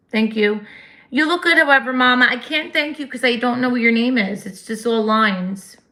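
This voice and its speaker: In a New Jersey accent, a woman speaks at a moderate pace and a high pitch. Her tone is bright and sharp, and the recording is very clean, with a silent background. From New Jersey, US. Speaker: livestream host. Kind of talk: casual chat. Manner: loud.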